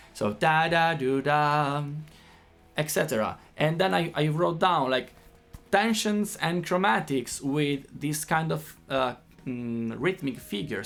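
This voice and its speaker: Over music in the background, a man with an Italian accent speaks at a fairly slow pace, his fairly high voice carrying lively intonation. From Italy. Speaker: guitar teacher. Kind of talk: tutorial. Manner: halting.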